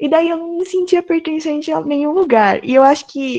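A woman speaks in a dark, mellow tone. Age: 20s. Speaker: design student. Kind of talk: interview.

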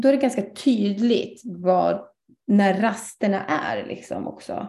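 A woman speaks with a dark, mellow tone that is somewhat breathy. Her pitch varies in an ordinary way, and the room echo is audible. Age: 30s. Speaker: ADHD coach. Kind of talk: guest lecture in online live session. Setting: online live broadcast.

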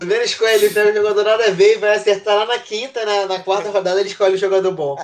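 A man speaks very fast in a high voice with fairly even intonation and hardly any pauses. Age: 20s. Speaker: podcast guest, NFL fan. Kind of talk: casual chat.

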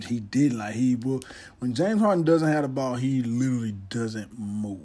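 A man with a dark, mellow tone speaks with ordinary pitch variation amid audible room echo. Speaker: podcast host. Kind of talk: casual solo monologue.

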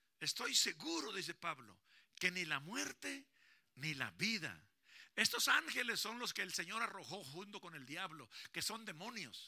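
A man's high-pitched voice with a bright, sharp tone, lively intonation and a fairly slow pace. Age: 60s. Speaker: pastor. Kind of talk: sermon. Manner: animated.

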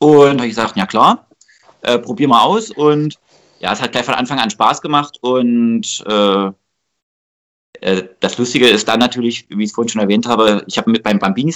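At a moderate pace, a man speaks at medium pitch. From Saxony, Germany (Delitzsch area). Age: 20s. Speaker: amateur footballer and youth coach. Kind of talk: casual interview.

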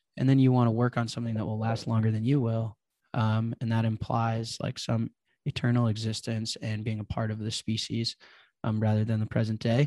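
A man's medium-pitched voice, dark and mellow in tone, with monotone, flat intonation. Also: very clean recording, silent background. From Chicago. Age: 20s. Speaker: bitcoin entrepreneur. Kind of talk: casual interview.

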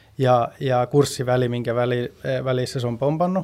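Medium in pitch, a man's voice moves at a moderate pace. His intonation is monotone and flat. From Sweden. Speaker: finance professional. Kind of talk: casual chat. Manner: halting.

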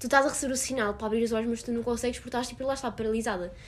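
The woman has a fairly high, somewhat breathy voice. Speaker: podcast guest. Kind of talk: casual chat.

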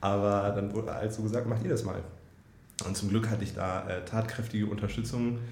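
A man's somewhat breathy, fairly low voice, monotone and flat, with audible room echo around it. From northern Germany, Hannover. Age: 30s. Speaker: startup founder and software executive. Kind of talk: interview. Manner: hesitant, many fillers.

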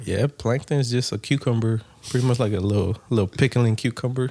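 A man speaks at medium pitch in a dark, mellow tone with an American accent. His pace is fairly quick, his intonation fairly even, and his voice somewhat breathy. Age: 30s. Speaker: podcast co-host. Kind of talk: casual chat.

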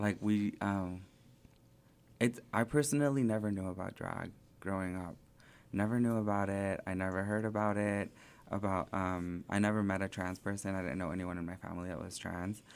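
A man with an ordinary speaking voice, fairly low in pitch with fairly even intonation, on a very clean recording with a silent background. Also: moderate pace. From southern California, raised in Springdale, Arkansas. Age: 20s. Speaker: drag performer. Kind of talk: casual interview chat.

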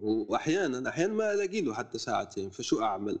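A man is speaking. His pace is moderate. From Algeria, El Oued (southeast Sahara). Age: 20s. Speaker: writer and content creator. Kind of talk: casual interview.

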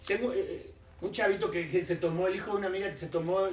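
A man talks at a very fast pace with a high pitch. Audible room echo and noticeable background noise surround him. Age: 50s. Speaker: nightlife business expert and speaker. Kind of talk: casual interview chat.

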